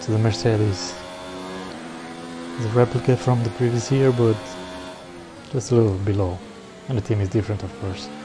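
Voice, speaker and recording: Over music in the background, a man with a fairly low pitch talks at a fairly quick pace, leaving long, frequent pauses. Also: ordinary pitch variation. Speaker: sim racing gamer. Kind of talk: gameplay commentary. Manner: casual.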